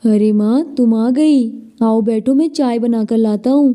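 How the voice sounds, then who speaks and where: In a cartoonish character voice, a female-sounding speaker talks at a moderate pace with a fairly high pitch. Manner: earnest, pleading.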